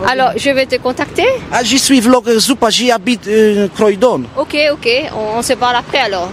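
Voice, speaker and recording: At an extremely high pitch, a man speaks at a fairly quick pace with ordinary pitch variation, in a dry sound with no echo over light background noise. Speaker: vlogger. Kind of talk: street interview. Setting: outdoors. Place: street. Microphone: handheld.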